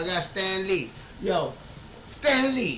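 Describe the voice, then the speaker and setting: A man talks in a raised, projected voice with an animated tone and ordinary pitch variation. There is noticeable background noise and audible room echo. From New York, Puerto Rican. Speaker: collectibles YouTuber. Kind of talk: live stream reaction chat.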